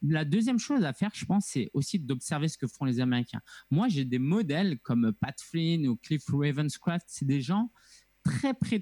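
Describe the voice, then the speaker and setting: A man speaks at fairly high pitch in a dark, mellow, somewhat breathy tone with lively intonation. The sound is dry and close with no echo. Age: 30s. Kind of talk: interview conversation.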